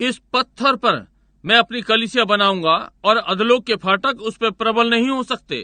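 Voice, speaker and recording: A man with an extremely high pitch and fairly even intonation. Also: moderate pace. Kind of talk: Hindi dubbed sermon voiceover.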